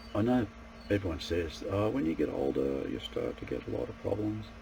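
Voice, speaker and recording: Noticeable background noise sits behind a man's voice. His pitch is very deep and low, his pace moderate. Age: 60s. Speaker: martial arts practitioner and self-improvement vlogger. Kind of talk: casual monologue to camera. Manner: halting, with repeated false starts.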